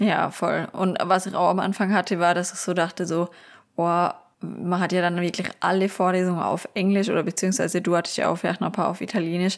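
A woman with vocal fry speaks fairly quickly at a medium pitch. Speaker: podcast host and university student. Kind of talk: casual chat. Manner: animated.

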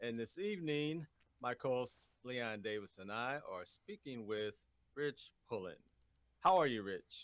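A man talks fairly slowly in a normal speaking voice. His medium pitch carries lively intonation. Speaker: radio host. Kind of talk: interview.

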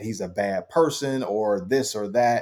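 The man speaks at medium pitch with ordinary pitch variation. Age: 40s. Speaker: former basketball player and analyst. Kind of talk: interview. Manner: hesitant, many fillers and repeats.

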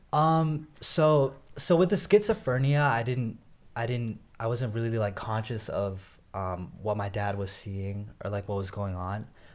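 A plain, everyday voice with an American accent, lively intonation and a fairly slow pace, in a very clean recording with a silent background. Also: man, medium pitch for a man. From US, Northern Virginia. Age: 20s. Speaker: rapper. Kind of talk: interview.

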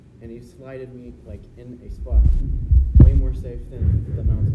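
A man speaks at a moderate pace while noticeable noise fills the background. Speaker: church group member sharing testimony. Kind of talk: personal testimony. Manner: hesitant, filler-heavy storytelling with many ums.

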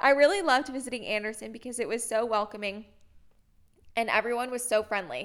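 A woman's high-pitched voice with an American accent, a fairly quick pace and ordinary pitch variation, over music in the background. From Indianapolis, Indiana, US Midwest. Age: 20s. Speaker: podcast co-host. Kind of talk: casual chat.

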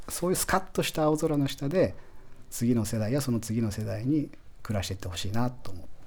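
Speaking with an unremarkable speaking voice, a man talks at a fairly quick pace with medium pitch and lively intonation. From Japan, Aichi (Toyohashi). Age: 40s. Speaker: chocolate company founder. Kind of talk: radio interview. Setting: radio studio.

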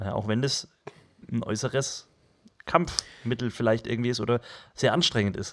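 Speaking at a moderate pace with a medium pitch and ordinary pitch variation, a man leaves long, frequent pauses. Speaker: podcast co-host. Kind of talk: casual chat.

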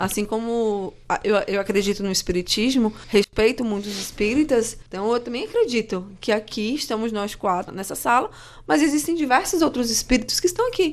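A woman speaks in an ordinary speaking voice with a fairly high pitch. Her intonation is lively, at a moderate pace. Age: 30s. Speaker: journalist, social media worker, astrology believer. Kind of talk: debate on a student radio show.

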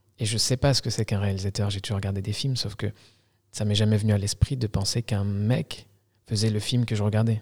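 A man with a fairly low pitch speaks at a fairly quick pace in a monotone, flat intonation, his voice somewhat breathy in a very clean recording with a silent background. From Algeria. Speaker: filmmaker. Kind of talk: casual interview. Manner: halting.

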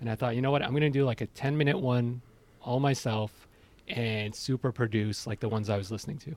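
With a plain, everyday voice, a man speaks at a fairly quick pace and medium pitch, with ordinary pitch variation. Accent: Canadian. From Iran, moved to Canada as a child. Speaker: podcaster. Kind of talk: casual chat. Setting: remote call from home study.

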